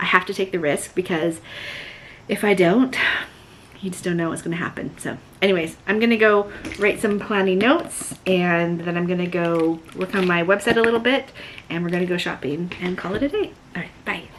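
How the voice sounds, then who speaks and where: A woman talks with ordinary pitch variation. Noticeable background noise runs beneath her voice. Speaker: vlogger and small online shop owner. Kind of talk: casual vlog talk to camera. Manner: animated; fast.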